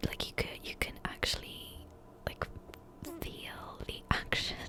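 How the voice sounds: The woman whispers her words at a fairly slow pace.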